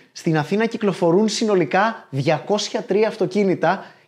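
An animated man with lively intonation against a quiet background. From Greece. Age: 40s. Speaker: comedian and YouTube host; comedian, YouTube host. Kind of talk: scripted narration. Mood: lively, humorous. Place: studio. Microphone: lapel.

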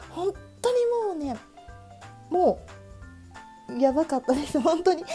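Music plays behind a woman with an extremely high pitch and very wide pitch swings. She sounds excited. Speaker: stationery YouTuber. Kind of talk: casual talk to camera. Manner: fast, higher-pitched, excited.

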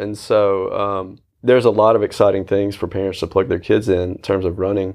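A man speaks at a fairly quick pace in a plain, everyday voice, his fairly low pitch held to fairly even intonation against a quiet background. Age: 30s. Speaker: running coach. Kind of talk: casual chat. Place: office. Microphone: lapel.

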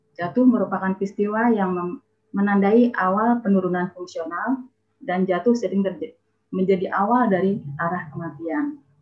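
Against a quiet background, a woman with a somewhat breathy voice talks at a fairly quick pace with ordinary pitch variation. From Indonesia. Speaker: university dean; webinar presenter. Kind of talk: webinar presentation. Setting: video call. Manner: formal. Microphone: video call.

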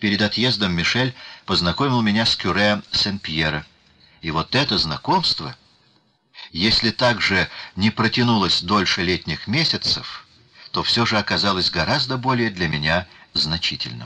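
A man with a fairly low pitch and a bright, sharp tone speaks at a fairly slow pace with long, frequent pauses. His intonation is lively and his loudness very even. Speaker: audiobook narrator. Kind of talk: reading aloud.

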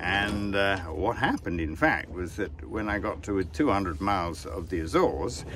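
A man with an English accent and a very deep, low pitch, in a dry sound with no echo and light background noise. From England. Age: 70s. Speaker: sailor and author. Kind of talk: casual vlog monologue. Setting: outdoors on a sailboat at sea. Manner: relaxed, chatty. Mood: relaxed, wry. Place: boat. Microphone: phone near.

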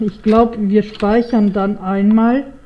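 There is noticeable background noise behind a woman's voice. She speaks at a medium pitch with fairly even intonation. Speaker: gaming YouTuber. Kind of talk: let's play commentary. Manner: halting, many fillers.

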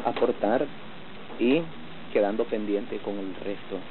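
The man talks at a fairly slow pace with fairly even intonation. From Nicaragua (Managua). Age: 30s. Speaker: wheelchair mechanic, double amputee. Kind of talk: documentary interview.

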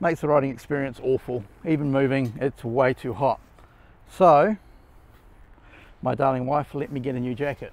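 A man at a moderate pace, in a dry sound with no echo. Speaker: motorcycle gear reviewer. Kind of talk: casual product review. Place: garden.

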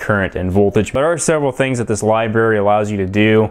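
A man with an ordinary speaking voice talks at a fairly quick pace, his fairly low pitch showing ordinary pitch variation. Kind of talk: tutorial. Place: workshop.

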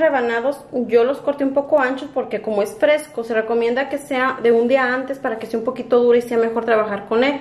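Speech moves at a fairly quick pace with fairly even intonation and audible room echo. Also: woman. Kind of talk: tutorial. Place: kitchen. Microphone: camera far.

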